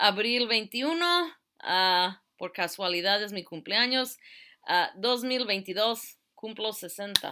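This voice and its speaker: A woman's fairly high, normal speaking voice, a normal speaking voice with lively intonation at a moderate pace. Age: 60s. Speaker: teacher. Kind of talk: lecture. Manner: casual.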